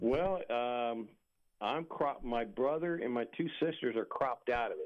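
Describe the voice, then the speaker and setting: A man with an American accent talks at a fairly slow pace, his medium-pitched voice showing ordinary pitch variation. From Maryland, outside Washington DC. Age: 60s. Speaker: military veteran. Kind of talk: interview. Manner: halting.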